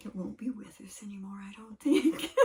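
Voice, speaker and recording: A soft-spoken woman with a high pitch at a moderate pace. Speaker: channel owner and podcast co-host. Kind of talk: casual chat.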